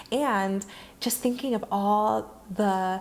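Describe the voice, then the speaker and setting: A woman speaks with an American accent. Her pitch variation is ordinary. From US Midwest, Ohio. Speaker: writer and entrepreneur. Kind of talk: interview.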